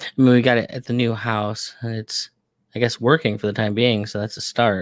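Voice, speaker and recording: A man at medium pitch and moderate pace, fairly even in intonation, in a very clean recording with a silent background and a dry, close sound with no echo. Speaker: podcast host. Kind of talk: casual chat. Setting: home studio, live stream. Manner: loud.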